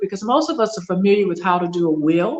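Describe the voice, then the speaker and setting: A woman talks at a fairly quick pace in an unremarkable speaking voice with medium pitch. Her intonation is lively. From US South. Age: 60s. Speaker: business consultant, military retiree. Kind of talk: podcast interview.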